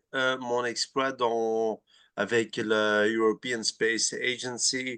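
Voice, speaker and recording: Very slowly, a man speaks with a medium pitch, a bright, sharp tone, fairly even intonation and very even loudness. The sound is dry and close with no echo, over a quiet background. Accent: Flemish. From Flanders, Belgium. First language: Dutch (Flemish) (speaking French). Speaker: dental researcher. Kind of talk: webinar Q&A chat. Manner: halting, many repetitions.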